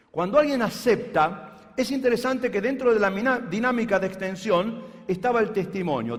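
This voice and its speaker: A man talks at a moderate pace with audible room echo around him. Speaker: pastor. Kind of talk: sermon.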